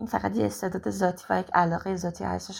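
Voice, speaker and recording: The background is silent on this very clean recording. A woman's voice is heard. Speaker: singer. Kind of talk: testimony.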